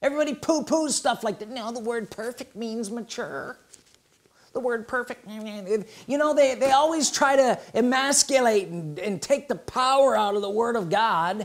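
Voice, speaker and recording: Over a quiet background, a man with an extremely high pitch talks at a moderate pace. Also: ordinary pitch variation. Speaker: preacher. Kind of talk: sermon to a live congregation. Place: home room.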